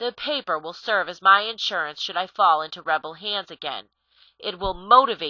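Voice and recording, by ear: Against a quiet background, a voice is reading aloud in a natural voice.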